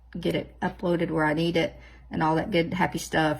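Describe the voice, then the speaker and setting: This woman's voice sits at a fairly low pitch, heard in a very clean recording with a silent background. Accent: American. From US South. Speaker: nail art vlogger. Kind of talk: casual chat tutorial. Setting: home office. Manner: animated, chatty.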